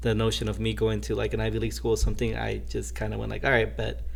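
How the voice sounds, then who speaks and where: Amid audible room echo, a man with a very deep, low pitch and vocal fry talks at a very fast pace in a monotone, flat intonation. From US Midwest, south side of Chicago. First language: Spanish. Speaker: podcast guest, college graduate. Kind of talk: casual interview conversation. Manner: hesitant, many fillers and repetitions.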